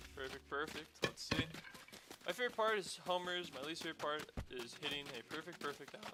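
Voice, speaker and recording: With lively intonation at a fairly high pitch, a man speaks over noticeable background noise. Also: fairly quick pace. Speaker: video game streamer. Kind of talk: live gameplay stream commentary. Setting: live stream. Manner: animated, sudden loud outbursts.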